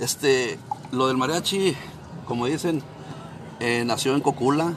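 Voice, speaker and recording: Noticeable background noise behind speech of moderate pace and ordinary pitch variation. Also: man. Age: 50s. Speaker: mariachi musician. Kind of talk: interview.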